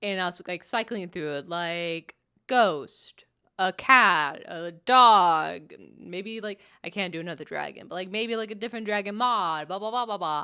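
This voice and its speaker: On a very clean recording with a silent background, a woman speaks at a moderate pace and medium pitch with ordinary pitch variation. Her tone is animated, bright and sharp, with big swings in loudness. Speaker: crochet vlogger and teacher. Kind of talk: casual vlog chat. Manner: animated, chatty with many fillers.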